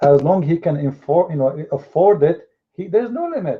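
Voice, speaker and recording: A man's high-pitched voice at a moderate pace. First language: Arabic. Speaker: religious debater. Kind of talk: heated debate. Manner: animated.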